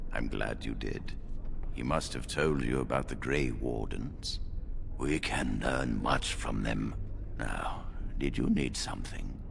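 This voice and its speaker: Over loud background noise, a man uses a put-on character voice at a fairly slow pace. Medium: game stream. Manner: formal, measured.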